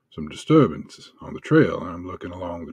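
In a put-on character voice, a man drawls in an angry tone at a fairly low pitch. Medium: actual play. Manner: folksy, drawling, turning angry and profane.

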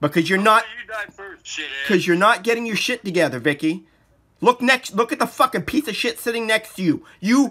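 The voice is raised and projected, with a bright, sharp tone and lively intonation. The pace is fairly quick, broken by long, frequent pauses. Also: man, high pitch for a man. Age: 40s. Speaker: documentary filmmaker. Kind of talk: casual chat. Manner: animated. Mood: angry, agitated. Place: home room. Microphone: phone near.

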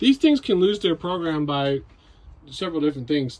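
A man speaks at a very fast pace. His intonation is lively. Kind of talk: tutorial. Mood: casual, matter-of-fact. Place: home room. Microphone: phone near.

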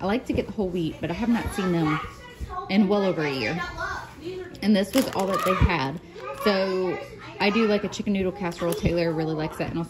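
A woman talks at a very fast pace with ordinary pitch variation while a crowd murmurs in the background. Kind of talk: casual vlog chat. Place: home room. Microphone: phone near.

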